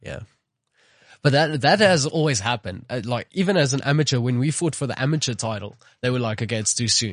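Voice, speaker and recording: Talking at a very fast pace, a man uses lively intonation at a medium pitch, his voice somewhat breathy. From South Africa, Pretoria. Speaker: MMA fighter. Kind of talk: casual chat. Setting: studio.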